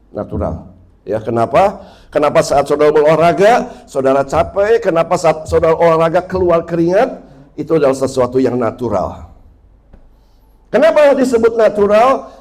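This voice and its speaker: Amid noticeable background noise, a man speaks at a high pitch with very wide pitch swings. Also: moderate pace. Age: 60s. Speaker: pastor. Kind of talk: sermon.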